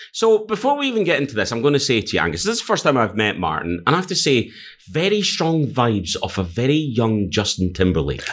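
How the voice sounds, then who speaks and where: Very fast speech in a Scottish accent, with very wide pitch swings and vocal fry, on a very clean recording with a silent background. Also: man, medium pitch for a man. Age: 40s. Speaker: podcast host. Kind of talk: casual chat.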